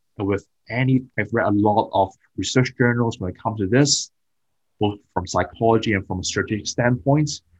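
Against a quiet background, a man talks at a moderate pace with ordinary pitch variation, his somewhat breathy voice sounding dry and close, with no echo. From Hong Kong. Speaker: productivity and performance coach. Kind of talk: podcast interview. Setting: remote call.

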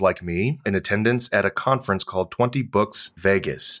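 The recording is very clean, with a silent background. A man speaks at a fairly low pitch with ordinary pitch variation. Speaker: podcast co-host. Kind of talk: casual chat. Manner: fast.

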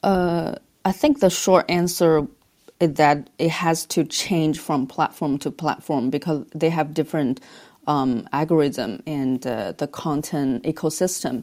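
Her pitch is very deep and low, and she has a Chinese accent. The recording of this woman is very clean, with a silent background. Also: ordinary pitch variation. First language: Mandarin Chinese. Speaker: advertising agency business leader. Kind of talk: podcast interview.

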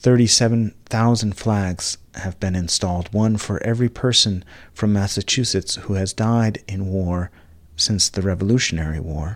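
A man with a normal speaking voice talks at a fairly slow pace, his fairly low pitch carried in fairly even intonation. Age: 40s. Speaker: minister leading a spiritual gathering. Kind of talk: sermon. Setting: live Zoom gathering.

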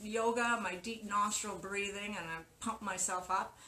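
A woman with a Canadian accent at a moderate pace, ordinary pitch variation and audible room echo. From Canada, Winnipeg. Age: 60s. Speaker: masters cyclocross and mountain bike racer. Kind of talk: casual interview.

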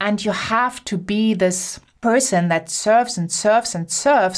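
In an animated, enthusiastic tone with a German accent, a woman talks at a fairly slow pace with ordinary pitch variation, in a very clean recording with a silent background. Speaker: podcast host, business coach.

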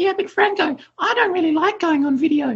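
The put-on character voice is whiny and extremely high in pitch, moving at a fairly quick pace.

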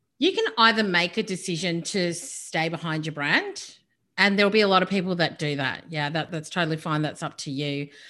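Against a quiet background, a woman talks at a fairly quick pace with a bright, sharp tone, fairly low pitch and ordinary pitch variation. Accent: Australian. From Australia. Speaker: business and speaker coach. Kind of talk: interview. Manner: animated.

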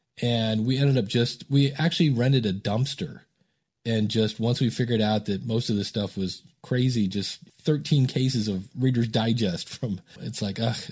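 A somewhat breathy man's voice at a moderate pace. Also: medium pitch for a man, ordinary pitch variation. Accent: American. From US Midwest, Akron, Ohio. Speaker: podcast coach. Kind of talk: interview conversation.

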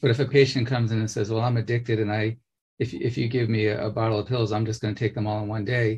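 A man's somewhat breathy voice at a very fast pace with fairly even intonation. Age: 50s. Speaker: podcast host. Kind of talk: interview conversation.

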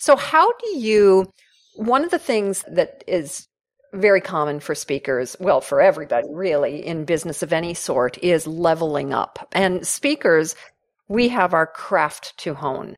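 A woman with an unremarkable speaking voice, fairly low in pitch, with lively intonation. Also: fairly slow pace. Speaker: podcast host and professional speaker. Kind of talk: interview, casual chat. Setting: video call.

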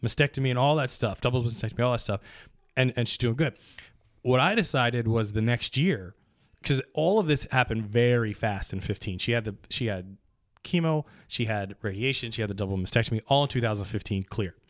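A man with an unremarkable speaking voice, medium in pitch, talks at a fairly quick pace with ordinary pitch variation on a very clean recording with a silent background. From Pittsburgh area and New Jersey. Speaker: podcast guest, friend of the hosts. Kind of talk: casual chat.

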